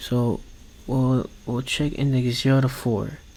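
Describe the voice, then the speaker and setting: A man speaks at a medium pitch and a very slow pace. His intonation is monotone and flat. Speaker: coding learner vlogger. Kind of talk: coding tutorial vlog. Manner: halting.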